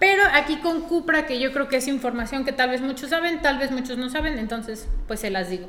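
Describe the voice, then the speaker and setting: A woman speaks in a high, raised and projected voice with lively intonation at a fairly quick pace, hardly pausing, over noticeable background noise. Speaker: car podcast co-host. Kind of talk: casual chat. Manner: very fast.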